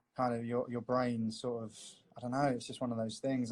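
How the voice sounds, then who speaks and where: A man speaks in a London accent. His intonation is monotone and flat. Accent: London English, milder than cockney. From north-west London. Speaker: tattoo artist. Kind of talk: live-stream drawing chat. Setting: live video stream. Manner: casual, filler-heavy.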